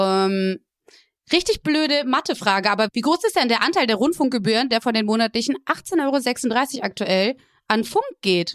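A woman with an unremarkable speaking voice, fairly high in pitch, at a moderate pace with lively intonation, dry and close with no echo, on a very clean recording with a silent background. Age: 20s. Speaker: podcast host and partner manager. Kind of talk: casual interview.

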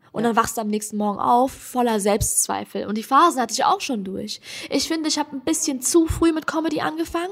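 Very fast, high-pitched speech from a woman with very wide pitch swings over noticeable background noise. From Germany, Hesse. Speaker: comedian. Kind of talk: casual chat.

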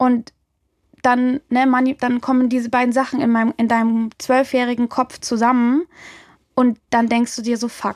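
At a moderate pace, a woman with a high pitch speaks in a monotone, flat way, recorded dry and close with no echo. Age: 20s. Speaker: music journalist and DJ. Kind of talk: interview, personal testimony. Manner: casual, colloquial.

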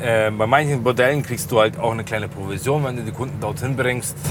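A man talks at a fairly quick pace and medium pitch, his intonation fairly even. Noticeable background noise and audible room echo fill the recording. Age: 20s. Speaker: taxi driver. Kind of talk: casual chat. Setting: in a car.

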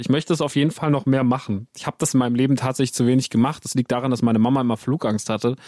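A man with a Baden accent at a medium pitch, dark and mellow in tone, very fast in pace, with ordinary pitch variation and a dry, close sound with no echo in a very clean recording against a silent background. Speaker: podcast host. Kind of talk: casual chat.

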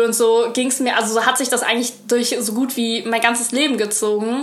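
At a moderate pace, a woman with a fairly high voice speaks amid noticeable background noise and audible room echo. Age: 20s. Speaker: cooking content creator. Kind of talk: casual chat.

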